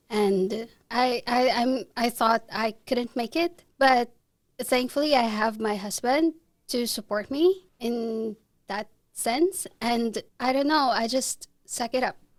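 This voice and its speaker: A woman speaks at a fairly slow pace in a Filipino accent. Her voice is fairly high, with ordinary pitch variation. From Philippines. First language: Tagalog. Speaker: international student and photographer. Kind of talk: podcast interview.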